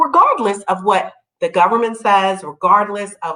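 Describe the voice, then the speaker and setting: A woman's fairly high-pitched voice at a moderate pace, with very wide pitch swings. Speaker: attorney, online show host. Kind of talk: live show commentary. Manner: halting, many fillers.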